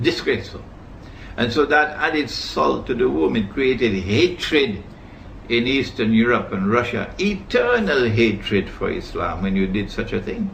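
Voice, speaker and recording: Pitch swings very widely at a moderate pace, with noticeable background noise and audible room echo. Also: man, medium pitch for a man. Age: 70s. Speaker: Islamic scholar. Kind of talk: lecture. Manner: formal.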